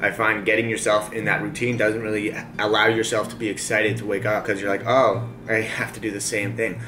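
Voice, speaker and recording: Through noticeable background noise, a man speaks very fast at a fairly low pitch in a monotone, flat intonation. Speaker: vlogger. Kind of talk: casual vlog chat. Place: home room. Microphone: camera far.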